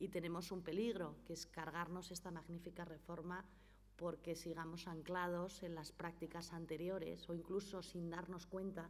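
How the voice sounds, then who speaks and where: With vocal fry and monotone, flat intonation, a woman speaks at a fairly low pitch and moderate pace amid audible room echo. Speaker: notary and foundation director. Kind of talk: conference talk. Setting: conference hall with audience and interpreter.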